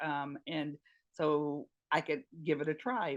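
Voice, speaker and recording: In a North Carolina accent, a woman talks with a very deep, low pitch. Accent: Southern US (North Carolina). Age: 60s. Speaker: retired nurse and patient advocate. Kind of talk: interview testimony. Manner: hesitant, many fillers.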